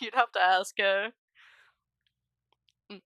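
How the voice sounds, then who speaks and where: At a fairly high pitch, a woman speaks in a dry, close sound with no echo. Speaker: tabletop game player and streamer. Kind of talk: casual chat. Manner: fast.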